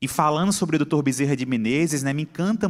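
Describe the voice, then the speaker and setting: With a Pernambuco accent and lively intonation, a man speaks on a very clean recording with a silent background. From Brazil, Pernambuco. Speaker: psychiatrist and lecturer. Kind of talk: conference talk. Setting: stage with audience.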